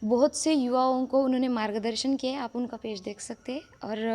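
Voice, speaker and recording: A woman with a Marathi accent speaks at a high pitch and a fairly slow pace, her tone dark and mellow and her intonation fairly even. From Maharashtra, India. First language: Marathi (speaking Hindi). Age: young. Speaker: religious storyteller. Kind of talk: interview.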